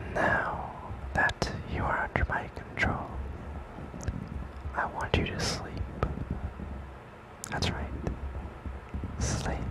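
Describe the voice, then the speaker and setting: Soft-spoken speech with a dry, echo-free sound sits over loud background noise. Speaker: roleplay narrator. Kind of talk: soft hypnosis roleplay narration. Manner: soft, slow hypnotic ASMR voice.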